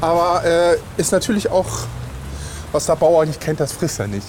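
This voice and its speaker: Over noticeable background noise, a man with a fairly high pitch speaks with lively intonation and long, frequent pauses. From Lüneburg, northern Germany. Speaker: podcast co-host and teacher. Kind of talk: casual chat. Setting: café and walking around a market hall.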